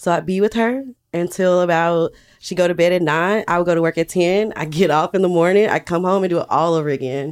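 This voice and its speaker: A woman talks at a fairly quick pace with a Southern US accent. Her pitch is fairly low with ordinary variation. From US South, Alabama. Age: 30s. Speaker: business owner. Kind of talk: interview.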